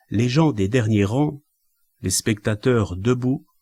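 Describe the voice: Over a quiet background, the voice does plain reading aloud with ordinary pitch variation.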